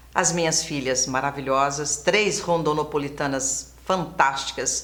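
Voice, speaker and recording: Through audible room echo, a woman speaks at a fairly slow pace with fairly even intonation. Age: 60s. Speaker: former TV presenter. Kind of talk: interview. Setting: studio.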